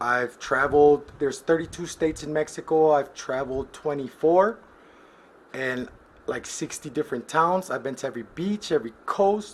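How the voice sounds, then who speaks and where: This is a normal speaking voice, with ordinary pitch variation and a moderate pace. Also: man. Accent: American. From US Midwest. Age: 30s. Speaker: collections agent. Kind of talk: casual self-introduction.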